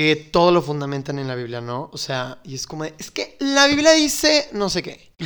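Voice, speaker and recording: A man speaks at a moderate pace with hardly any pauses, his loudness swinging widely. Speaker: podcast co-host. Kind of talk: casual chat.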